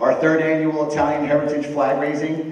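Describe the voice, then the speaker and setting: A man is heard with audible room echo. Light background noise sits underneath. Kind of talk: ceremony speech. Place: hall.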